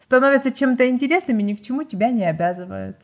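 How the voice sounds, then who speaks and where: Against a quiet background, a woman with a Ukrainian accent speaks at a high pitch with lively intonation. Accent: Ukrainian-accented Russian. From small provincial town in Ukraine. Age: 20s. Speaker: podcast guest telling personal stories. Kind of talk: storytelling.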